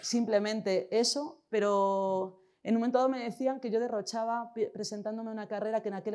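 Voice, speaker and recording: A woman with a fairly high pitch and a dark, mellow tone talks at a moderate pace with ordinary pitch variation. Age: 40s. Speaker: social educator, conference speaker. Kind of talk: conference talk. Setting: stage at a conference.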